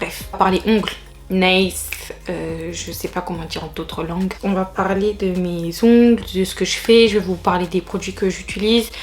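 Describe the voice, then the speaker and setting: A woman at medium pitch, flat and monotone, at a moderate pace, over noticeable background noise. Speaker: beauty vlogger. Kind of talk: casual vlog tutorial.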